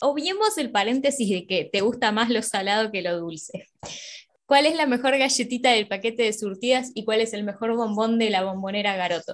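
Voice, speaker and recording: A woman's fairly high-pitched voice, an ordinary speaking voice, with ordinary pitch variation and a moderate pace. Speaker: podcast co-host. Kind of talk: casual chat.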